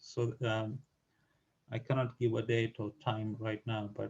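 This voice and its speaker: Somewhat breathy male voice, medium in pitch, at a fairly slow pace. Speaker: statistics tutor. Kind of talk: tutorial announcements. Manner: halting.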